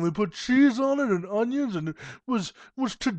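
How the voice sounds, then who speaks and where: A man talks in a put-on character voice, keeping a moderate pace. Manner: affected, gushing.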